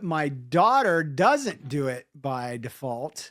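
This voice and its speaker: Fairly high-pitched male speech, captured very cleanly against total silence. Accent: American. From US South. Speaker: podcast host. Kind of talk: casual chat.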